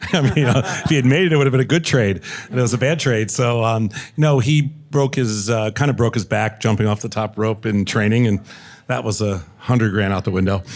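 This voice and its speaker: A man's plain, everyday voice, medium in pitch, with ordinary pitch variation and a fairly quick pace. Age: 60s. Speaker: entrepreneur and investor. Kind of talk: panel discussion.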